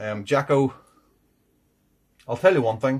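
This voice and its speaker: A somewhat breathy man is heard on a very clean recording with a silent background. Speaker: beer reviewer. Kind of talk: casual review vlog. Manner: deliberately enunciating, slightly slurred.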